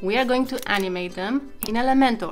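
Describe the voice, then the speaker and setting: A woman at a fairly quick pace with ordinary pitch variation, faint music in the background. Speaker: web design tutorial creator. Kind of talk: tutorial. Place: home room.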